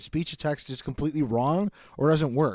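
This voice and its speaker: The speaker is a man with a Midwestern US accent. His pitch is fairly high. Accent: Midwestern accent, clipped pronunciation. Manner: casual, runs words together.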